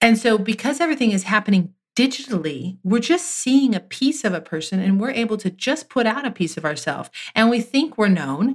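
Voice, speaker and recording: This woman speaks fairly quickly in a fairly high, somewhat breathy voice with very wide pitch swings. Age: 30s. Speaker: podcast co-host. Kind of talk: casual faith-based conversation. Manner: humorous, chatty.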